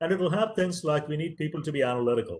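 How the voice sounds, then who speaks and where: With a Tamil accent, a man speaks at a very fast pace, somewhat breathy, with lively intonation. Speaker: professor. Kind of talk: lecture.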